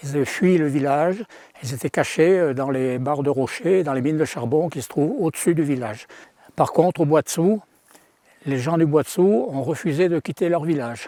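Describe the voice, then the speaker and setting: With a dark, mellow tone and a fairly high pitch, a man speaks at a moderate pace with ordinary pitch variation. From France, Savoie (Maurienne valley). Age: 80s+. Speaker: local witness, elderly villager. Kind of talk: interview testimony.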